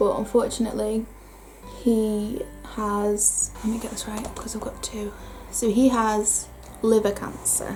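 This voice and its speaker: A woman with a northern English accent at a fairly slow pace, long and frequent pauses, audible room echo and noticeable background noise. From northern England. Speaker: beauty vlogger. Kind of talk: casual chat. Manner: chatty.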